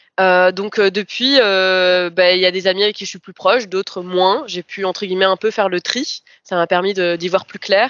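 A woman at a moderate pace and medium pitch, with fairly even intonation but big swings in loudness. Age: 20s. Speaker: person with lived experience of mental illness. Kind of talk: personal testimony. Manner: hesitant, many fillers.

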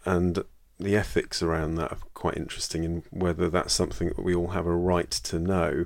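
A man with a British accent speaks at a moderate pace, his very deep, low voice carrying vocal fry. The recording is very clean, with a silent background. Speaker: general practitioner podcast host. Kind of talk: solo educational monologue.

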